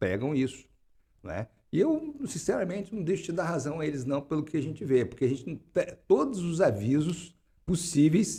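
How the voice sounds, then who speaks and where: This man's fairly high voice carries a dark, mellow tone with vocal fry. He speaks at a moderate pace with lively intonation. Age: 60s. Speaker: political and social scientist, climate researcher. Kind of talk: interview. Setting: studio. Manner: halting, many repetitions.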